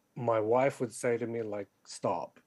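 Intonation remains fairly even. The man's pitch is medium. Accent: Australian. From Australia, western Sydney. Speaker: poet and novelist. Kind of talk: interview.

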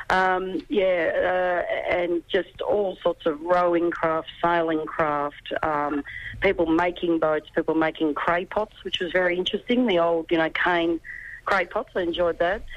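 This is a woman with an Australian accent. Her pitch is fairly low. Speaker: sailor. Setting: phone call from airport.

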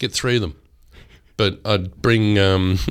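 His delivery moves at a moderate pace. The man talks in an Australian accent. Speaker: radio host. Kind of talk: casual chat. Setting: studio. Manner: animated.

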